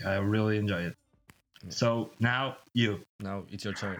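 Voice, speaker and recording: The speaker has a Portuguese accent and talks at a fairly slow pace. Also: man. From Portugal. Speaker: podcast co-host. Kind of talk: casual chat. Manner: halting.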